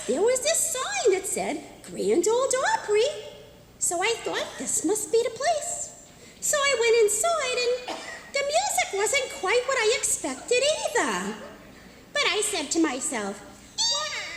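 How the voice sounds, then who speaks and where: Putting on a squeaky character voice, a woman speaks fairly slowly at an extremely high pitch with very wide pitch swings and long, frequent pauses, with clear echo and clear background noise. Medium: stage play.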